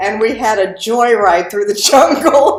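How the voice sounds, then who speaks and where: Ordinary pitch variation from a female speaker, with music in the background. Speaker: voice actor. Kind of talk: interview answer.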